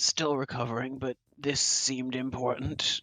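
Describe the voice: This is a put-on character voice, raspy and pitched low to middle. It holds a monotone, flat intonation at a moderate pace.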